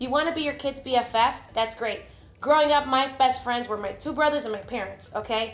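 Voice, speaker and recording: Over music in the background, a woman talks at a high pitch and fairly quick pace with ordinary pitch variation. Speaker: vlogger and faith-based parenting speaker. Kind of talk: motivational vlog talk. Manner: animated.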